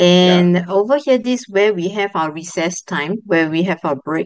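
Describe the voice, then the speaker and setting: A plain, everyday voice at a moderate pace, dry with no echo against a quiet background. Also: woman. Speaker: schoolteacher. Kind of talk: casual sharing. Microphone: video call.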